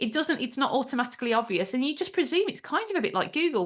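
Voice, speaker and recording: With a Birmingham accent, a woman talks in very wide pitch swings. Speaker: AI trainer and business founder. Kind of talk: interview.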